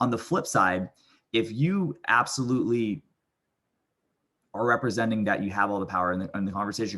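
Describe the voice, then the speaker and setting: An animated, very fast man with an American accent, fairly low pitch and ordinary pitch variation, over a quiet background. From US East Coast. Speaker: company CEO, sales trainer. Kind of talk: tutorial. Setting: recorded video.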